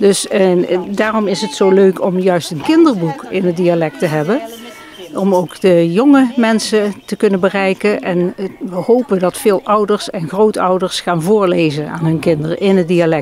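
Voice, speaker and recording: Amid noticeable background noise, a woman speaks at a medium pitch and a moderate pace with ordinary pitch variation. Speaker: dialect translator. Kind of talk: interview answer.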